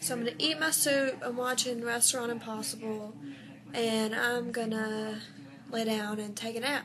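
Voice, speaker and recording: A woman speaks at a moderate pace in a fairly high voice with ordinary pitch variation. Background noise is noticeable. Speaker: vlogger. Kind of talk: casual vlog.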